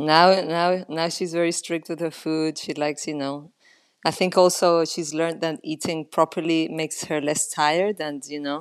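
Her pitch is very deep and low for a woman, in a Spanish accent. The intonation is monotone and flat. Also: moderate pace, quiet background. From Spain. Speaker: golf caddie. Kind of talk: casual interview.

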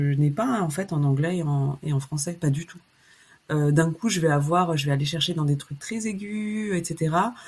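A woman with a fairly low pitch talks at a fairly slow pace in a somewhat breathy voice. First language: Chinese, Lao and French (trilingual from birth) (speaking French). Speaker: musician. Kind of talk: casual interview. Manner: hesitant, many fillers.

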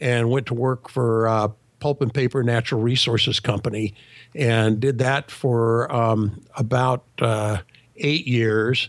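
In an American accent, a man with a plain, everyday voice talks at a fairly slow pace, his pitch medium and his intonation fairly even. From California. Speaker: leadership consultant. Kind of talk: interview.

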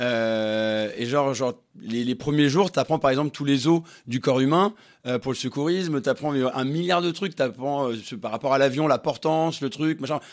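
The recording is very clean, with a silent background, as a man talks at a moderate pace with ordinary pitch variation. He has a normal speaking voice, pitched fairly high. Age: 30s. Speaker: flight attendant. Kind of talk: casual chat.

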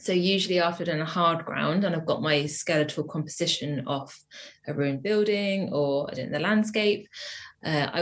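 In a southern English accent, a woman talks at a fairly low pitch. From England, Wiltshire. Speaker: printmaker. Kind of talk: interview.

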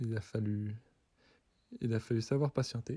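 Over a quiet background, a man speaks at a moderate pace in a dark, mellow tone with fairly even intonation. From France, Doubs. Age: 20s. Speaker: Nordic combined athlete. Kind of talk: interview answers.

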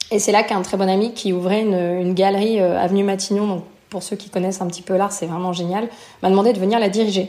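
Speaking at a very fast pace, a woman keeps a monotone, flat intonation. Her tone is dark and mellow. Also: medium pitch for a woman. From France, near Lyon. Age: 30s. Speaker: returned expat. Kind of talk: interview testimony.

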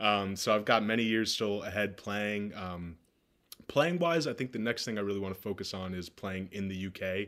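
Speaking with an American accent at a moderate pace, a man uses a fairly low pitch and ordinary pitch variation. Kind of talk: casual interview chat.

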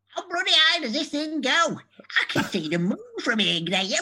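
A high-pitched put-on character voice swings very widely in pitch, with a northern English accent as part of the act. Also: moderate pace. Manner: amazed, exclaiming.

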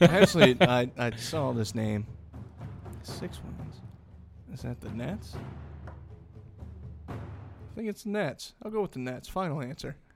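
A man speaks at a medium pitch and fairly slow pace, with very wide pitch swings, big swings in loudness and long, frequent pauses. Music plays in the background. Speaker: podcast co-host. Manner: casual, profane.

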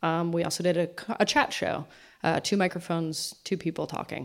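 A moderate-paced, medium-pitched woman's voice, an unremarkable speaking voice. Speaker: podcasting executive. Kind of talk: conference talk. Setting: stage with audience.

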